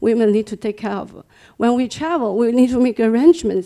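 A woman with a Chinese accent speaks at a fairly quick pace in a fairly high pitch, her tone dark and mellow, with ordinary pitch variation against a quiet background. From China. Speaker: engineer; panelist. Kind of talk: audience comment. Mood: earnest, personal. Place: meeting room. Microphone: handheld.

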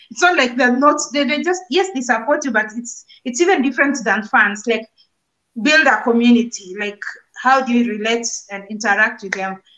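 A woman's high voice with a bright, sharp tone, lively intonation and a moderate pace over a quiet background. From Kenya, Nairobi; Kenya. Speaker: YouTube content creator; guest. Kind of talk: casual chat. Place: home room. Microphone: unstable network connection; video call.

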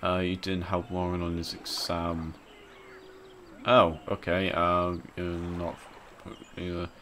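A man speaks with a very deep, low pitch. His delivery is very slow, in a monotone, flat intonation. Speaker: gaming YouTuber. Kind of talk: let's play commentary. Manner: rambling.

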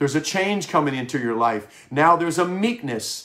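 A man speaks at a moderate pace against a quiet background. His pitch is fairly high for a man, and it is an ordinary speaking voice. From Wisconsin. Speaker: pastor. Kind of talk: sermon. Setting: home office broadcast. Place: home room. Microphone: webcam.

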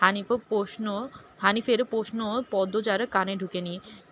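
Someone reads in an unforced reading voice, keeping the intonation fairly even.

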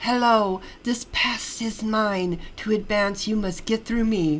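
Putting on a character voice, a woman growls at a fairly high pitch and a fairly slow pace, with clear background noise behind her. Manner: snarling, menacing.

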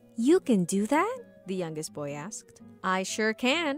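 Someone is reading aloud in a natural voice. The text is read through from start to finish.

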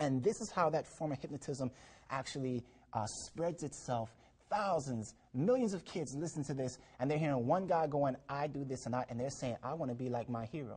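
Somewhat breathy and fairly quick, a man speaks at a fairly high pitch with ordinary pitch variation. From Jamaica. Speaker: talk show guest. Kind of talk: religious TV discussion. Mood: earnest, testifying. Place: studio. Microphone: lapel.

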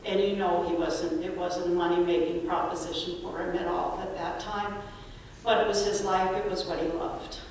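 In a room with strong echo and light background noise, a woman talks at a moderate pace. Her voice is fairly low, with a monotone, flat intonation. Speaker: speaker. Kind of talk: eulogy storytelling. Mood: warm, reminiscing. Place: church.

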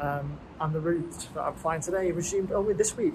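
Noticeable background noise is audible throughout. A man does the talking. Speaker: travel vlogger. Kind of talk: casual vlog chat. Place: station. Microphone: earbuds.

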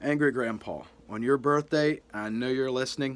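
A soft-spoken man's voice rises and falls with ordinary pitch variation. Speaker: youtuber. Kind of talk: heartfelt birthday tribute to a deceased internet personality. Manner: earnest, sentimental, gently reverent; slightly halting with soft humor. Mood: sincere, tender, sentimental. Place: home room. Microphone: phone near.

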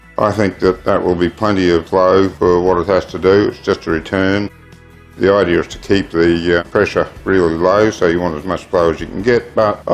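A man with a very deep, low pitch talks at a moderate pace in a monotone, flat intonation. Faint music plays in the background. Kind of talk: tutorial. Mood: calm, explanatory. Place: garage. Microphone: phone near.

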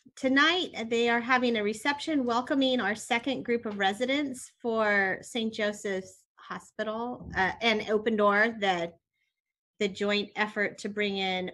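At a fairly slow pace, a woman talks with a bright, sharp tone and ordinary pitch variation. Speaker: mayor chairing the meeting. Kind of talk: meeting announcements. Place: home room. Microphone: video call.

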